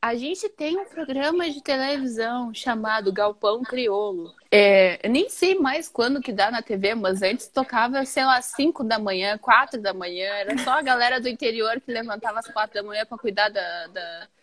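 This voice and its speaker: A woman with a southern Brazilian accent speaks at a fairly high pitch and a moderate pace, with lively intonation and hardly any pauses. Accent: gaúcho. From Rio Grande do Sul, Porto Alegre. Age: 20s. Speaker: writer. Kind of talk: casual chat. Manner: animated.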